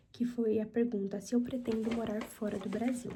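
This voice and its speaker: A woman with a fairly high pitch speaks at a moderate pace in a dark, mellow, somewhat breathy tone. Audible room echo is present. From Brazil, São Paulo (Mauá, ABC region). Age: 20s. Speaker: ASMR youtuber. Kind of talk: casual Q&A chat. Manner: soft, ASMR-style.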